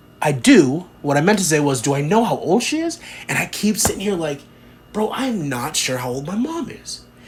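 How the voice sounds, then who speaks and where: High-pitched man's voice with very wide pitch swings, at a moderate pace, with noticeable background noise. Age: 30s. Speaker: podcast host. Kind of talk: casual monologue. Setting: home room with door to backyard. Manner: rambling, filler-heavy.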